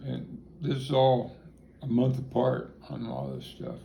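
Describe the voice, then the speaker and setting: A man with a Midwestern US accent talks at a very slow pace, with audible room echo. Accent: US Midwest. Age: 60s. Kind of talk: interview. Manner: halting.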